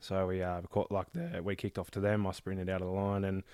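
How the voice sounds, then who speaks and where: Someone with an Australian accent speaks fairly quickly in a monotone, flat delivery, on a very clean recording with a silent background. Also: man. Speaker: martial arts student. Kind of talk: casual chat. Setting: studio.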